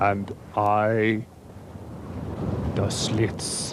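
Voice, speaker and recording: Over clear background noise, a man does a put-on character voice with a fairly low pitch and monotone, flat intonation. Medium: comedy sketch. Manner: deadpan.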